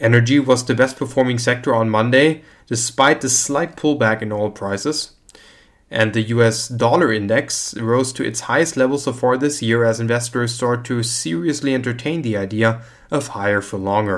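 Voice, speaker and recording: This man has a plain, everyday voice, medium pitch and ordinary pitch variation. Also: moderate pace. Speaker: market news presenter. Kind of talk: scripted financial news reading, formal newsreader delivery of market figures and quotes. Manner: formal, even-paced and matter-of-fact; measured, neutral, steady reading of numbers.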